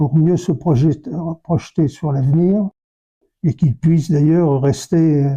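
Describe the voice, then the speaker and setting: Breathy to some degree, a man's voice sits fairly high in pitch with a dark, mellow tone. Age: 80s+. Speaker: retired army officer. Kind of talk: interview testimony. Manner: halting, many hesitations.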